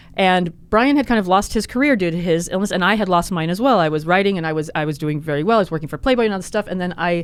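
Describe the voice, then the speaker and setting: Talking at a very fast pace, a woman with a fairly low pitch uses lively intonation. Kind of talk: casual chat. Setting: studio.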